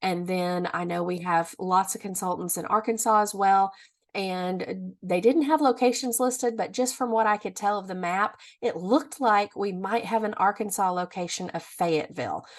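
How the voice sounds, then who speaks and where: Against a quiet background, a woman speaks in an ordinary speaking voice at a medium pitch and a moderate pace. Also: ordinary pitch variation. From Missouri. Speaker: direct sales consultant. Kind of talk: business tutorial.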